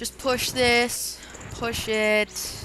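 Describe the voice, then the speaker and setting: A woman talks with a fairly high pitch. Music can be heard behind her. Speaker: let's play gamer. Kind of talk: gameplay commentary.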